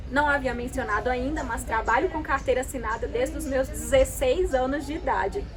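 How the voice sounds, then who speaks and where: A woman talks at a fairly quick pace with hardly any pauses, against noticeable background noise and audible room echo. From Brazil, Minas Gerais (Itabirito). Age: 20s. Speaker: travel vlogger. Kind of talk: scripted narration.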